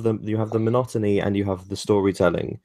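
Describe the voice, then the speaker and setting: A man with a British accent and a fairly low pitch speaks against a quiet background. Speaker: podcast co-host interviewing a game developer.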